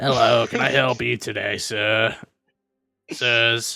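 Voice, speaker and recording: A raspy, put-on character voice from a man, medium in pitch, at a fairly slow pace. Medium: actual play. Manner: polite, calls customers sir.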